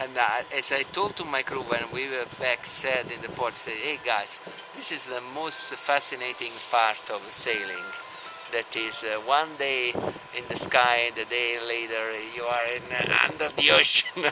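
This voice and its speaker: A man with an Italian accent, medium in pitch, speaking fairly slowly with ordinary pitch variation over music in the background. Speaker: sailing team owner. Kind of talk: interview. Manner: halting.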